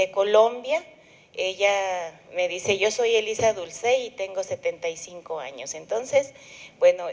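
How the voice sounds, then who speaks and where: Against a silent background on a very clean recording, a woman with a plain, everyday voice speaks at a fairly slow pace, medium in pitch, with ordinary pitch variation. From Mexico, Durango. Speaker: moderator. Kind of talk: speaker introduction. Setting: conference with microphone.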